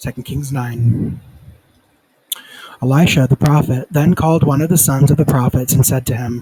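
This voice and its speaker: Quiet and fairly high-pitched, a man talks at a moderate pace with fairly even intonation and long, frequent pauses. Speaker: Bible reader. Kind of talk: reading aloud. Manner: halting, stumbles over names; quiet, subdued.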